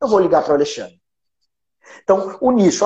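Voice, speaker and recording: This man's pitch swings very widely. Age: 40s. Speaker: lawyer and law professor. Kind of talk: interview. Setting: at home, remote call.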